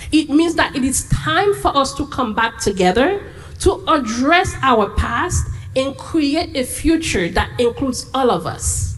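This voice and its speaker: Noticeable background noise surrounds a woman speaking at a fairly slow pace with a non-native accent. Her high voice makes very wide pitch swings. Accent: foreign. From Haiti. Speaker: immigrant rights advocate. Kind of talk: panel discussion.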